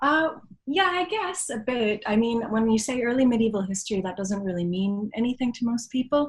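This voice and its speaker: This woman's somewhat breathy voice moves at a moderate pace with lively intonation. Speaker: history professor. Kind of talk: podcast interview.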